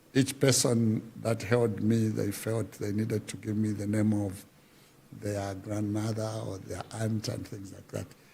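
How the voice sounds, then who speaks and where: A man speaks fairly slowly in a dark, mellow, somewhat breathy voice with a fairly low pitch. His intonation is monotone and flat, while his loudness swings widely. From Zambia, Luapula region. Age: 60s. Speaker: veteran musician and folklore artist. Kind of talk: interview, life story. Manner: halting, many fillers.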